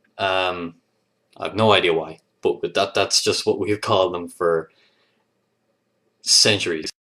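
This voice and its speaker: In a Leinster accent, a man with a fairly low pitch talks at a fairly slow pace. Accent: Irish (Leinster). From Ireland, Leinster (east). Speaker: vlogger. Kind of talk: casual video response reading word list. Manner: hesitant, many fillers.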